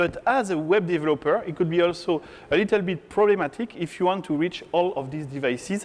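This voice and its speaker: Speaking with a French accent, a man with a high pitch uses lively intonation at a moderate pace. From France. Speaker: tech conference speaker, software developer. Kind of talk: conference talk. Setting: stage with audience.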